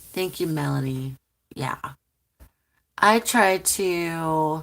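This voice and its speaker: Her pitch fairly low, a woman speaks at a very slow pace with ordinary pitch variation. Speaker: tarot reader and channel host. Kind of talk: live stream chat reading comments.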